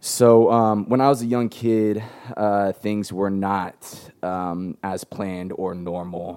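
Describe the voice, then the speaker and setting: Speaking at a very slow pace with an American accent, a man uses a fairly low pitch, fairly even intonation and a dark, mellow tone. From San Diego, California. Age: 20s. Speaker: nonprofit founder. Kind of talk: interview.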